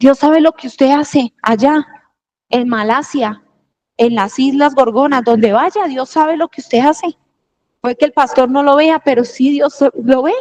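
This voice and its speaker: Ordinary pitch variation at a fairly slow pace, in a dry, close sound with no echo. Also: woman. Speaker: preacher. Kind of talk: sermon.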